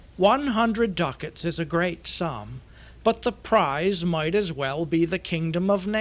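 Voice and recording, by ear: The pitch moves in an ordinary way as a person is reading aloud in a natural voice.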